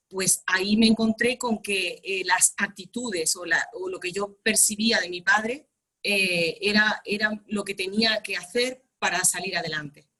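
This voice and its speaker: A woman in an ordinary speaking voice, medium pitch, fairly slow pace, hardly any pauses and fairly even intonation. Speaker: workshop participant. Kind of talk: group coaching session.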